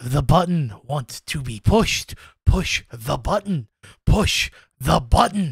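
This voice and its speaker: A man puts on a character voice, pitched fairly high for a man and delivered at a fairly slow pace. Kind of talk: comic game master voice. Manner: insistent, repetitive, wheedling.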